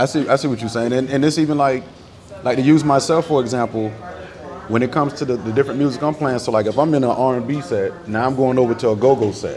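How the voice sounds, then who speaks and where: A man with an American accent talks at a very fast pace in a medium pitch, with noticeable background noise behind him. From Tampa, Florida. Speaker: DJ. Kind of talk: casual chat. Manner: animated.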